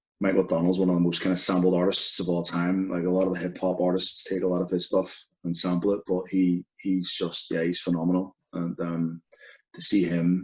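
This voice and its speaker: A man speaks in a Belfast accent with a very deep, low pitch. He talks fairly quickly in a flat monotone. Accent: Belfast Northern Irish. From Northern Ireland, Belfast. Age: 30s. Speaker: football podcast co-presenter. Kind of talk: interview conversation. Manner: hesitant, many fillers.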